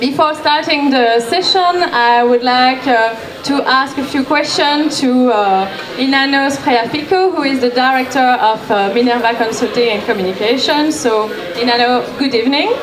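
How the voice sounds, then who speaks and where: Speech comes at a moderate pace with ordinary pitch variation and very even loudness. Noticeable background noise and audible room echo are present. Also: woman, high pitch for a woman. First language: French. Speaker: event moderator. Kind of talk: event moderation.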